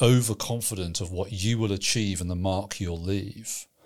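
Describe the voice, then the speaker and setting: A man with an ordinary speaking voice, fairly low in pitch with ordinary pitch variation, is heard on a very clean recording with a silent background. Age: 50s. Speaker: pastor and theology trainer. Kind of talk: casual theological discussion.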